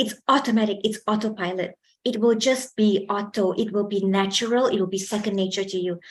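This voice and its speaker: A fairly high-pitched, somewhat breathy woman's voice with ordinary pitch variation. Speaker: communication skills trainer. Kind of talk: workshop lecture. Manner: projects more when lecturing.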